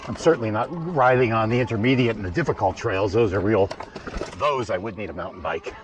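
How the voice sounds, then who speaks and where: Background noise is noticeable behind a man speaking at a very fast pace. His pitch is medium, with ordinary variation. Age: 60s. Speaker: vlogger, e-bike rider. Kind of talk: casual vlog commentary while riding. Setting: outdoors on a bike trail. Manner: casual, halting with fillers.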